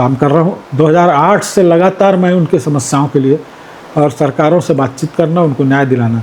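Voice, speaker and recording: The speaker keeps a moderate pace with ordinary pitch variation. Noticeable background noise can be heard. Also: man. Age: 60s. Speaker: politician. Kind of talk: interview.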